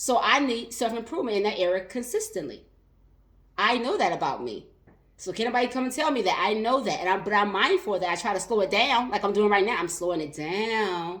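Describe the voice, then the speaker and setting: A woman speaks in a fairly high, animated voice with lively intonation, and a room echo can be heard. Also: fairly quick pace. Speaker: life and business coach. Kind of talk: live stream talk. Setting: live video stream on social media. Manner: fast.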